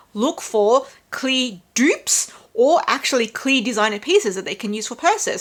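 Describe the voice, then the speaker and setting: Lively intonation marks a woman's high-pitched voice with an Australian accent, delivered at a moderate pace. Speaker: handbag vlogger. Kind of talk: casual review vlog.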